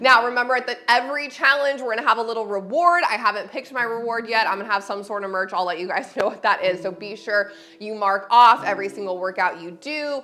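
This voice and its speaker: A woman speaks at a very fast pace with a fairly high pitch, ordinary pitch variation and hardly any pauses, her loudness swinging widely. Noticeable background noise sits behind her. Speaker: personal trainer. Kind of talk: fitness class instruction. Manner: chatty, casual.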